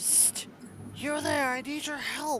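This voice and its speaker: Whispering in a put-on character voice, the speaker goes at a fairly slow pace over clear background noise. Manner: whispered yell, urgent.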